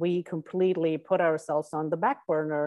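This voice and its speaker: A woman speaks at a moderate pace with fairly even intonation. Her voice sits fairly low. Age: 40s. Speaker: life coach and author. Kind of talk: interview. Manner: halting with many fillers.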